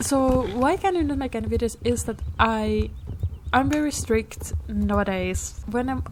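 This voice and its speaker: A woman speaks over noticeable background noise. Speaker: gaming youtuber. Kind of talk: casual gameplay vlog. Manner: halting.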